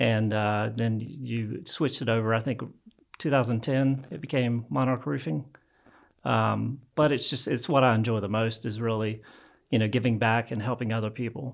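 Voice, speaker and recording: A plain, everyday voice from a man at medium pitch, moderate pace and ordinary pitch variation. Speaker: real estate and business mentor. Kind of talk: casual interview chat.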